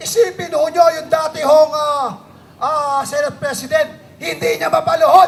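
Amid noticeable background noise, a man with an extremely high pitch speaks at a moderate pace with ordinary pitch variation. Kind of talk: rally speech, rousing protest address to a crowd. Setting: outdoor rally with crowd.

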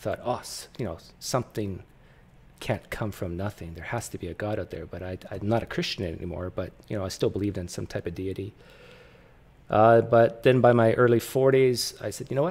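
Talking at a fairly quick pace, a man shows ordinary pitch variation and big swings in loudness. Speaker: host interviewer. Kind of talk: casual personal story in an interview.

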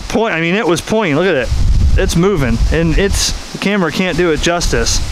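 A man talks in a high pitch at a moderate pace with ordinary pitch variation. The sound is dry with no echo, and there is noticeable background noise. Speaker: ham radio hobbyist. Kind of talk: casual vlog chat. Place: garden. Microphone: phone near.

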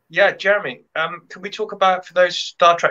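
Someone with a British accent speaks at a moderate pace over a quiet background. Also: man. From UK. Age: 30s. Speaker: podcast co-host. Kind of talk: casual interview chat. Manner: hesitant, many ums. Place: home room. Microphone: webcam.

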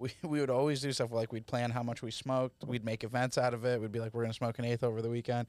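With monotone, flat intonation and hardly any pauses, a man speaks at a very fast pace, the sound dry with no echo and the background quiet. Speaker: comedian podcast host. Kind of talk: casual comedy banter. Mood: joking, playful. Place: studio. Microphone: studio mic.

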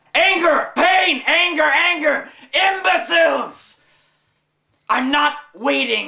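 The voice is high-pitched and very slow, with long, frequent pauses. An echo is audible. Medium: comedy sketch. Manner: shouting, overwrought.

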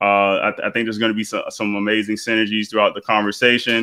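There is a quiet background behind the man talking. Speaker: podcast host. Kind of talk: podcast intro. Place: home room. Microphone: headset.

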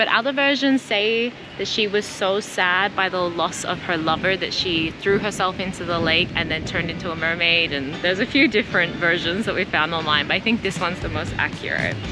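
Music plays in the background as a woman speaks fairly quickly with hardly any pauses. The sound is dry with no echo, and her pitch varies an ordinary amount. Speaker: travel vlogger. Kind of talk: casual vlog narration. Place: waterside. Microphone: phone near.

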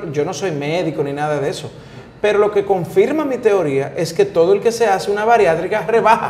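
High-pitched male voice, lively in intonation and fairly quick, with audible room echo. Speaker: talk show host. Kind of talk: casual interview chat. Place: studio. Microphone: lapel.

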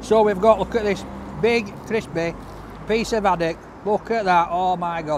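The man's voice has ordinary pitch variation and a moderate pace. The sound is dry with no echo, though noticeable background noise is present. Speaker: food reviewer. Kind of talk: casual food review vlog. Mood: enthusiastic, delighted. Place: street. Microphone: camera far.

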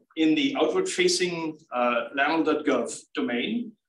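A man's voice sits fairly high and swings very widely in pitch. Audible room echo surrounds him. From Germany. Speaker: research scientist. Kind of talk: lecture.

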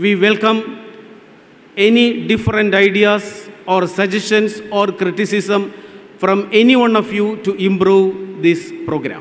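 A man talks at a fairly slow pace in a high pitch. His intonation stays fairly even. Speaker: event host giving welcome address. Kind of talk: formal welcome speech. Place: stage. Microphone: podium.

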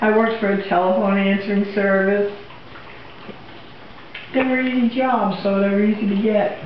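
Audible room echo and light background noise both come through in the clip. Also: woman. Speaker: interviewee. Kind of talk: interview answer.

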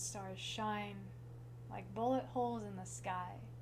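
Noticeable background noise sits behind this speaker. A woman talks at a very slow pace. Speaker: slam poet. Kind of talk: slam poetry performance. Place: home room. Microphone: camera far.

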